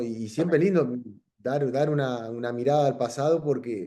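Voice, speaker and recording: A man with a Uruguayan accent, fairly high in pitch, dark and mellow in tone, with lively intonation at a moderate pace. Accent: Uruguayan Rioplatense Spanish. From Uruguay, Salto (north). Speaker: professional footballer, goalkeeper. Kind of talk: interview. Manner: halting, many repetitions and fillers.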